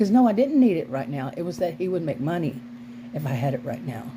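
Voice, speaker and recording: A woman with a very deep, low pitch makes very wide pitch swings, heard with audible room echo and noticeable background noise. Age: 60s. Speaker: vlogger, former sociology teacher. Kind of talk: casual vlog monologue. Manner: halting, with frequent restarts.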